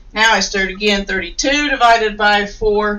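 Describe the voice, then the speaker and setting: A woman with a normal speaking voice talks at a moderate pace, her fairly high pitch varying in an ordinary way. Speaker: teacher. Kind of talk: tutorial.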